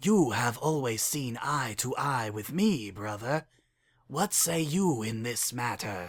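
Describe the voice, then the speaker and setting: In a put-on character voice with hissing, a man speaks at a fairly slow pace and medium pitch with lively intonation, on a very clean recording with a silent background. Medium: read story. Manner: cold, disdainful.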